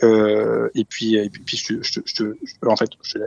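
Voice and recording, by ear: The voice has vocal fry and a monotone, flat intonation at a fairly slow pace. Its sound is dry and close, with no echo. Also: man, fairly low pitch for a man, slightly mellow tone.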